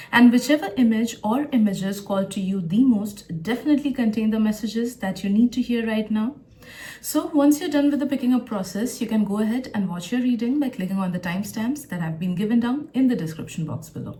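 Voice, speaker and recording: A woman speaks at a fairly quick pace with a fairly high pitch and lively intonation. Noticeable background noise is present. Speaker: tarot reader and psychic. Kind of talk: tarot reading to camera. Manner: occasional stutter.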